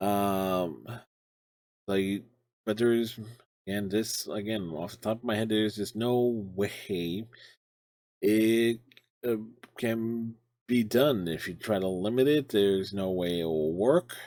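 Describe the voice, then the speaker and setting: Very slowly and with long, frequent pauses, a man with a fairly low pitch and a dark, mellow tone talks with ordinary pitch variation on a very clean recording with a silent background. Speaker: gaming streamer and commentator. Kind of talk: video commentary. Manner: halting, with restarts.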